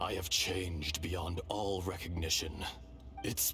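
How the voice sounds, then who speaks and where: Very deep, low-pitched put-on character voice from a man at a fairly slow pace, with clear background noise. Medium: machinima. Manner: grave, archaic phrasing.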